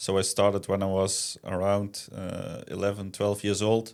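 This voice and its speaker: Very deep and low, a man's voice with a Dutch accent sits on a very clean recording with a silent background. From Netherlands. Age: 20s. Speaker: kart racing driver. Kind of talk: interview.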